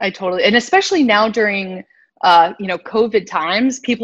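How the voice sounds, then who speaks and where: A woman with an American accent and a plain, everyday voice speaks at a fairly quick pace with a fairly high pitch and ordinary pitch variation against a quiet background. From US Northeast, New York City (Manhattan). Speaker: talent agency co-owner and talk show co-host. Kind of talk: casual interview chat.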